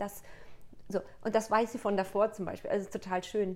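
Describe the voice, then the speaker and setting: Her pace is very fast and her intonation monotone and flat. This woman's pitch sits in the medium range. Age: 30s. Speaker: coach and author. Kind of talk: casual interview.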